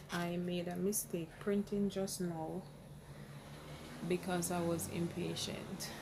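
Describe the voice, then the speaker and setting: A quiet woman's fairly low voice, monotone and flat, at a very slow pace with long, frequent pauses. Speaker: crafting tutorial creator. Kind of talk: tutorial. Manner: quiet, talking low.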